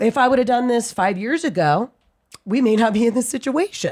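A woman with an American accent speaks at a moderate pace with a fairly high pitch. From US South, Atlanta. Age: 30s. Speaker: comedian. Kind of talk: casual chat.

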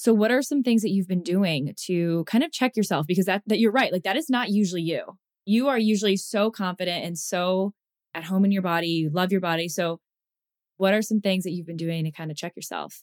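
In an ordinary speaking voice, a woman talks at a fairly quick pace with medium pitch and ordinary pitch variation, recorded dry and close with no echo. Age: 30s. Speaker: podcast co-host. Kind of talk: casual chat.

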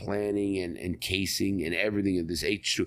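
A man with a New York accent and a fairly low pitch is heard in a very clean recording with a silent background. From New York City (Bronx). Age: 60s. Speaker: ex-convict author. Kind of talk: interview storytelling.

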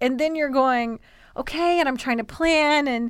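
A woman with an American accent speaks at a high pitch with lively intonation. The recording is very clean, with a silent background. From US South, Columbia, South Carolina. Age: 30s. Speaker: TV host and content creator. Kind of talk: casual interview chat. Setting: studio.

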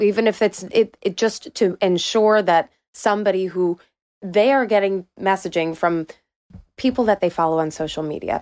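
At a moderate pace, a woman speaks at medium pitch with ordinary pitch variation and a dry, close sound with no echo. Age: 30s. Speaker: political reporter. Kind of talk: casual chat.

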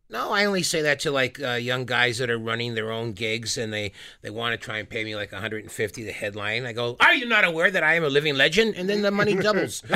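A man at a very fast pace with hardly any pauses and very wide pitch swings, over noticeable background noise. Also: medium pitch for a man. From Winnipeg, Canada. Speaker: stand-up comedian. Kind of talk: casual chat. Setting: radio studio.

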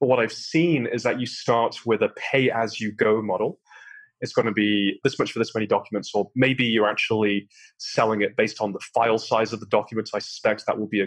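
With a British accent, a man speaks at a fairly low pitch. His intonation is fairly even and his pace fairly quick. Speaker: startup founder. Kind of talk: interview conversation. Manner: calm; measured.

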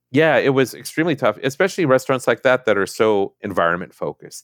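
A man with an American accent uses vocal fry and very wide pitch swings. The recording is very clean with a silent background, and the sound is dry and close with no echo. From Minnesota. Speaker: novelist. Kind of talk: interview.

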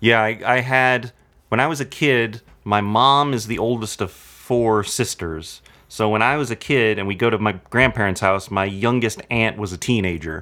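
This man's voice has a bright, sharp tone on a very clean recording with a silent background. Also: medium pitch for a man, ordinary pitch variation, moderate pace. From Southern California (Anaheim). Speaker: film and TV composer and music editor. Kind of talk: casual interview chat.

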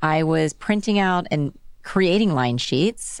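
With an American accent, a woman speaks at a moderate pace and ordinary pitch variation on a very clean recording with a silent background. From Texas (Dallas). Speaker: accessories designer and brand founder. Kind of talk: interview. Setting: studio.

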